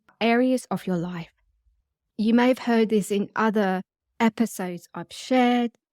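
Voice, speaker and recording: This woman has a normal speaking voice with a fairly high pitch and ordinary pitch variation, talking at a fairly slow pace in a dry, close sound with no echo on a very clean recording with a silent background. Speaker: sex hypnotherapist and podcast host. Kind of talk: guided meditation podcast talk. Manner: calm, soothing, gentle.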